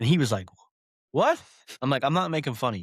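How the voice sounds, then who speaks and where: A man with a West Virginia accent and an animated tone, on a very clean recording with a silent background. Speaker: former police officer. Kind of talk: casual podcast chat, storytelling.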